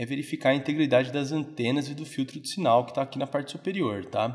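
Speaking with a Brazilian accent, a man at medium pitch moves at a fairly quick pace with ordinary pitch variation. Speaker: phone repair technician. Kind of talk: tutorial. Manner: casual, filler-heavy.

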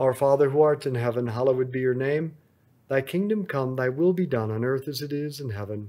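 A man's dark, mellow voice at a medium pitch, fairly quick, with ordinary pitch variation. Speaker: rosary meditation leader. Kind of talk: guided rosary prayer and meditation. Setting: on vacation, after a rodeo. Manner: fervent, reverent, devout.

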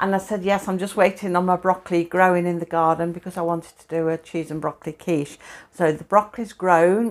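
Monotone, flat intonation runs through delivery that moves at a fairly quick pace. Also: woman, fairly low pitch for a woman. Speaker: home cook vlogger. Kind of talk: casual cooking tutorial. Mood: cheerful, laughing often. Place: kitchen. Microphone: lapel.

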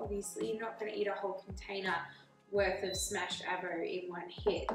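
Faint music plays behind a woman's voice. The room echo is audible. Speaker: presenter. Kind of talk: casual cooking tutorial intro. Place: kitchen. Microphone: camera far.

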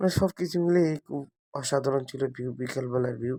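A man's dark, mellow tone is recorded with a dry, close sound and no echo. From Bangladesh, greater Mymensingh (Netrokona). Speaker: video blogger. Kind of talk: walking vlog narration. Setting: outdoors, village path.

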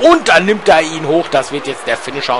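Against noticeable background noise, a man talks at a moderate pace with a fairly high pitch. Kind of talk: live sports commentary. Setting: gaming video voiceover. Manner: chatty, casual asides mixed with commentary.

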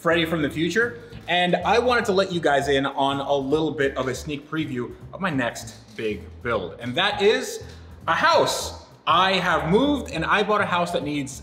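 Faint background music and audible room echo around a man's voice. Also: moderate pace. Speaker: video host. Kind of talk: casual vlog chat, sponsor read. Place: home room.

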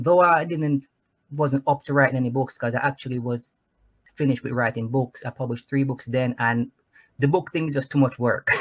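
Somewhat breathy, a man speaks with fairly even intonation. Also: medium pitch for a man, fairly quick pace, quiet background. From Jamaica (Clarendon). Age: 30s. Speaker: Navy veteran and author. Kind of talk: testimony. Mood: reflective, heartfelt storytelling. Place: home room.

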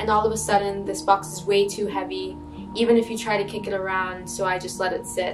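The speech moves at a fairly quick pace. Music plays in the background. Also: woman. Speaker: spoken word poet. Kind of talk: spoken word poetry performance. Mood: earnest, emotional, reflective. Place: home room.

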